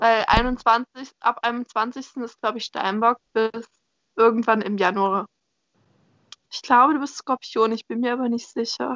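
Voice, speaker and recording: A woman's fairly high-pitched voice at a very slow pace, with long, frequent pauses, in a dry, close sound with no echo. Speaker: podcast co-host. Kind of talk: casual chat. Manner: squeaky when excited.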